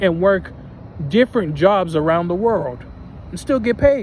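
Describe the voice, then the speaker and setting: A man talks at a high pitch with ordinary pitch variation. Noticeable background noise is present. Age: 20s. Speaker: vlogger. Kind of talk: personal vlog monologue.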